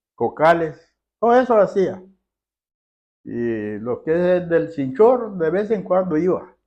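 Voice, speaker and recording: The voice has a dark, mellow tone and very wide pitch swings at a very slow pace. Long, frequent pauses break it up against a quiet background. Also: man, high pitch for a man. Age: 80s+. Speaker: elderly villager, farmer. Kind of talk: casual interview.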